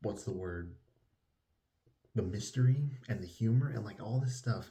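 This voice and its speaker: This man's voice is medium in pitch, dark, mellow and somewhat breathy, moving at a moderate pace with ordinary pitch variation. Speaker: book reviewer. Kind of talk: casual vlog-style book review. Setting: at a relative's house, indoors. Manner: quiet, trying not to wake others; animated, enthusiastic.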